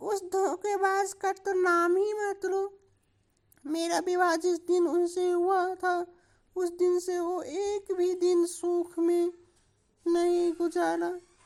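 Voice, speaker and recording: A woman's cartoonish character voice at an extremely high pitch, monotone and flat, at a fairly slow pace. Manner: wheedling, gossipy.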